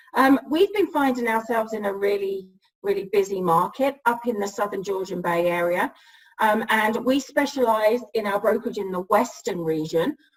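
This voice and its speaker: Fairly high in pitch, a woman speaks with ordinary pitch variation. Her pace is moderate. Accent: English. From England. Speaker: real estate broker. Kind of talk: interview. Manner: hesitant, many fillers.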